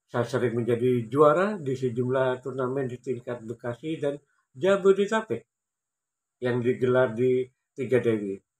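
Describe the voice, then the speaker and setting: A man speaks with a medium pitch. His pitch varies in an ordinary way. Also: moderate pace. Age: 50s. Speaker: amateur table tennis player and YouTuber; YouTuber. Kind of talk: personal storytelling vlog. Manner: formal. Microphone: phone near.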